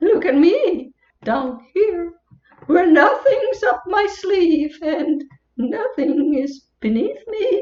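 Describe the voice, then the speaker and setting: Using a put-on character voice with an extremely high pitch, a woman speaks at a very slow pace with a slight echo. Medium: stage play. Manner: playful, punning, rhythmic.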